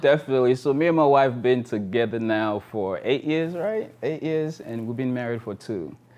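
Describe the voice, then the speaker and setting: In a quiet background, a man with an American accent talks at a medium pitch with ordinary pitch variation in an unremarkable speaking voice. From Texas (Arlington), Sierra Leone roots. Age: 30s. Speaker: lifestyle vlogger. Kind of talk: casual chat.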